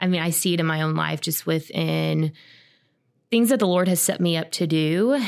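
On a very clean recording with a silent background, a woman with a plain, everyday voice speaks at a moderate pace, fairly low in pitch with ordinary pitch variation. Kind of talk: casual podcast conversation.

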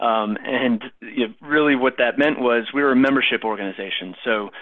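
Talking at a moderate pace, a man with an American accent uses a normal speaking voice at medium pitch, with fairly even intonation. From Minnesota, US Midwest. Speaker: university athletics fundraising director. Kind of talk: podcast interview.

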